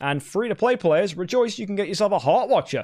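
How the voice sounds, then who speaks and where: The speaker talks at a very fast pace in an animated tone, with very wide pitch swings. The recording is very clean, with a silent background. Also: man. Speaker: gaming YouTuber. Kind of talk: game event review.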